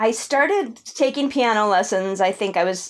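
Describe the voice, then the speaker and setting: In a very clean recording with a silent background, a woman talks with an American accent and lively intonation. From US West Coast (Los Angeles, San Fernando Valley). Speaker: film, TV and theater composer. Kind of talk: casual interview conversation. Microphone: new headphones and mic setup, treated dead room.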